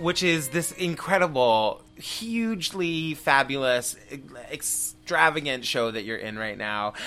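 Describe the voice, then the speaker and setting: Music plays behind a man whose fairly high voice swings very widely in pitch at a fairly slow pace. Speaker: podcast host. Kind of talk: interview conversation. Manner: animated, enthusiastic.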